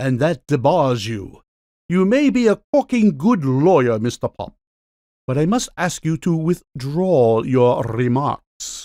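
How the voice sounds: Putting on a character voice, a man speaks slowly at a fairly high pitch with big pitch swings and a dark, mellow tone, in a very clean recording with a silent background.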